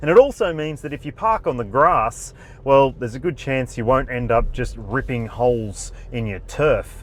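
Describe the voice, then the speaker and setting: A man with an Australian accent, medium pitch, lively intonation and a moderate pace. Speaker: car reviewer. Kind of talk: review talk while driving. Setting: in a car, driving.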